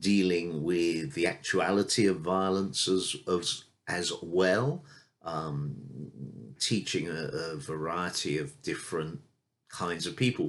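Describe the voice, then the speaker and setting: A man's very deep, low voice at a very slow pace, with ordinary pitch variation. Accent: British. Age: 60s. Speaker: martial arts instructor. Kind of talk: casual unscripted video introduction. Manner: hesitant with fillers.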